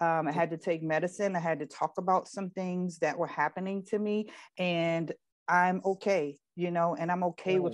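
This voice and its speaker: Her intonation fairly even, a woman speaks with a dry sound with no echo over a quiet background. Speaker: guest. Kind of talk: interview answer. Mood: earnest, personal, reflective. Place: home room. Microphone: video call.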